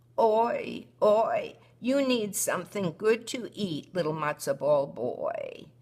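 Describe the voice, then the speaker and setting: A woman uses a put-on character voice with a fairly high pitch. She speaks at a fairly slow pace. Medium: read story. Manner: kindly, gentle.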